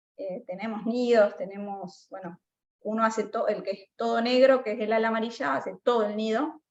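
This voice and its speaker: A woman talks at a moderate pace in a plain, everyday voice. Her pitch is fairly high, with ordinary pitch variation. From Argentina, Buenos Aires province. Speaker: mycologist researcher. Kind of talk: Q&A after online talk.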